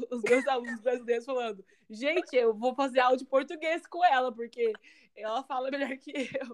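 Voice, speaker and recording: A woman with a high voice and normal pitch movement talks at a medium tempo. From Brazil. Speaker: podcast co-host, English teacher. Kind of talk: casual chat.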